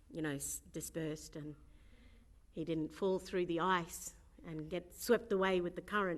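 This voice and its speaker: With vocal fry and a fairly low pitch, a woman speaks at a moderate pace and fairly even intonation. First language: Burarra. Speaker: actor and storyteller. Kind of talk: Q&A interview.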